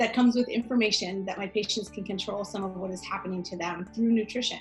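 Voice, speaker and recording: Music plays in the background while a woman talks very fast at a fairly high pitch, her intonation fairly even. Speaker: naturopathic doctor. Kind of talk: scripted introduction.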